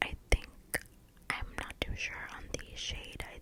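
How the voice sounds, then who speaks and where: Whispered words from a woman, with noticeable background noise behind them. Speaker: ASMR content creator. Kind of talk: get ready with me makeup video, casual talk to camera. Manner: soft-spoken, whispered.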